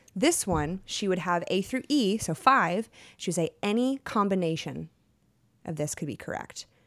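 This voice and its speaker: A woman's plain, everyday voice at medium pitch, in an American accent, at a moderate pace, in a very clean recording with a silent background. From Texas. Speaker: actor. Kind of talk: casual chat.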